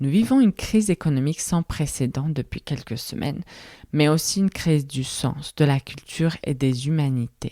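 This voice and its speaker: Woman with a non-native accent, very deep and low in pitch, dark and mellow in tone, ordinary pitch variation, moderate pace, dry and close with no echo, very clean recording over a silent background. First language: not French (speaking French). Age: 30s. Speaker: podcast host. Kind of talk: solo reflective podcast monologue.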